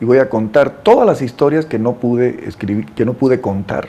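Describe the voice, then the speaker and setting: A man's medium-pitched voice at a fairly quick pace amid noticeable background noise. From Bolivia, Beni (Santa Ana del Yacuma). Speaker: writer. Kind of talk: interview. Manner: halting.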